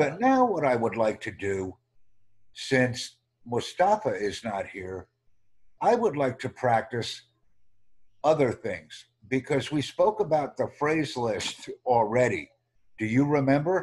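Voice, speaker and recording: With long, frequent pauses and very wide pitch swings, a man with an American accent speaks at a medium pitch and a fairly slow pace against a quiet background. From United States. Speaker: online language tutor. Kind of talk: tutorial. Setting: video call.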